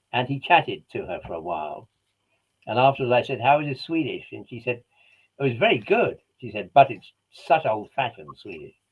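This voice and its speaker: Speaking at a fairly quick pace, a man with a British accent shows big swings in loudness. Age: 80s+. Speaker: scientist and broadcaster. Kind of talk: casual chat.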